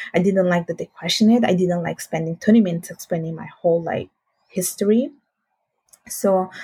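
A somewhat breathy woman with an Italian accent, medium pitch, ordinary pitch variation and a dark, mellow tone, at a fairly quick pace with long, frequent pauses and a dry, close sound with no echo. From Italy (Sicily, then northern Italy). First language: Italian and Bengali. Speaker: finance professional. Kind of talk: casual interview.

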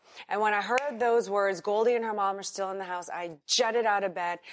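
A woman talks at a moderate pace and medium pitch, with fairly even intonation. She has an unremarkable speaking voice. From US South, New Orleans, Louisiana. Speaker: businesswoman and former actress. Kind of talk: interview. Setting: in-person interview in Singapore.

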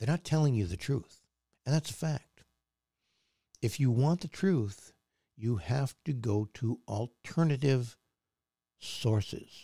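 A man with a medium pitch speaks very slowly in a dark, mellow, somewhat breathy tone with lively intonation. He leaves long, frequent pauses, and the sound is dry and close with no echo. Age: 60s. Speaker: podcast host. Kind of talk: opinionated monologue. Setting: studio.

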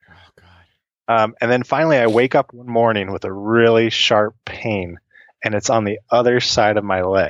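This man has an ordinary speaking voice, a medium pitch and an American accent. His intonation stays fairly even at a moderate pace, while his loudness swings widely. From Central Illinois. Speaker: species angler. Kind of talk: casual storytelling.

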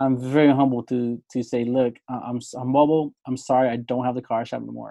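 Speaking fairly quickly in a dark, mellow tone, a man holds a medium pitch with monotone, flat intonation. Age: 30s. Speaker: podcast host and former mechanic. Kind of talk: casual interview chat.

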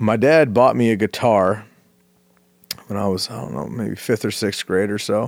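A man's fairly low voice with vocal fry, moderate in pace, broken by long, frequent pauses. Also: ordinary pitch variation. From US West Coast, San Francisco Bay Area. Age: 30s. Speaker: musician. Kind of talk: casual chat.

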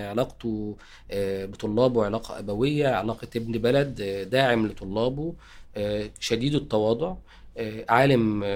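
A man talks at a fairly slow pace in an unremarkable speaking voice. His pitch is medium, with ordinary pitch variation. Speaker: university dean and translator. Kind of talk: interview.

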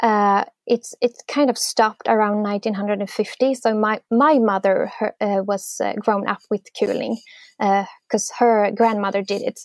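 In a Swedish accent, a woman speaks at a fairly high pitch and a fairly slow pace with fairly even intonation, the sound dry and close with no echo over a quiet background. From Sweden, near Gothenburg. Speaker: artist and musician. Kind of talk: interview, casual.

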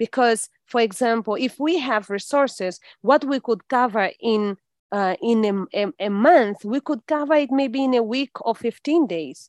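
A woman with a fairly high voice speaks fairly slowly with lively intonation. The sound is dry and close with no echo, over a quiet background. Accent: Portuguese. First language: Portuguese. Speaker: English teacher and teacher trainer. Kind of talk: interview.

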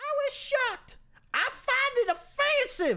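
In a put-on character voice, a female-sounding speaker talks at a moderate pace with an extremely high pitch. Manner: mocking, high-pitched.

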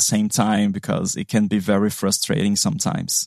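A man with a Portuguese accent is heard in a dry, close recording with no echo. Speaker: app developer. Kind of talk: technical interview chat.

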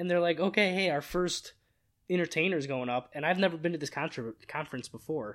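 A plain, everyday voice, this man speaks fairly quickly at a fairly high pitch with ordinary pitch variation. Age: 20s. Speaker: podcast co-host. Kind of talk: casual chat.

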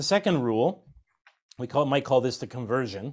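An American accent on a man with an ordinary speaking voice, at a fairly quick pace, in a very clean recording with a silent background. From US Pacific Northwest (Washington State and Idaho). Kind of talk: religious instruction interview.

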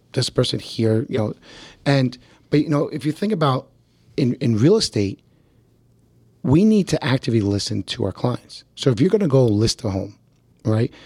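A man with a medium-pitched, dark, mellow, somewhat breathy voice speaks at a moderate pace with very wide pitch swings and long, frequent pauses, the sound dry and close with no echo. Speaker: real estate podcast host. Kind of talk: casual chat. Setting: video call. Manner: animated.

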